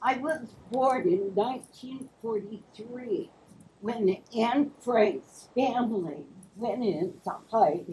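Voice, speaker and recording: Very slow in pace, a woman speaks with a dark, mellow tone, fairly high pitch and lively intonation. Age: 70s. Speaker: audience member. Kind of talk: audience question/comment.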